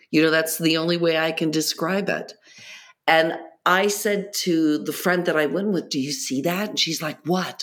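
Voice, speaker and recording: A woman's fairly low voice, an ordinary speaking voice, at a moderate pace with ordinary pitch variation. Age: 60s. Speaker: entrepreneur and meditation guide. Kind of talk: casual interview.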